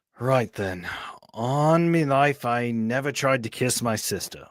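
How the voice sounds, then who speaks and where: Putting on a character voice at a medium pitch, a man speaks at a fairly slow pace on a very clean recording with a silent background. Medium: read story.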